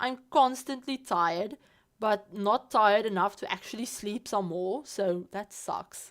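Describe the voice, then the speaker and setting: A woman of medium pitch with a non-native accent, fairly slow in pace with ordinary pitch variation, on a very clean recording with a silent background. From South Africa. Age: 20s. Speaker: Sims streamer. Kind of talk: casual livestream chat. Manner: casual, halting with repeats.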